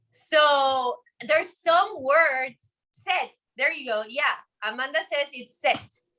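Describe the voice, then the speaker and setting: Raised and projected with a bright, sharp tone, this very slow speech in a Spanish accent shows big swings in loudness and ordinary pitch variation. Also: woman, high pitch for a woman. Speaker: cooking instructor. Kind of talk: live cooking demonstration.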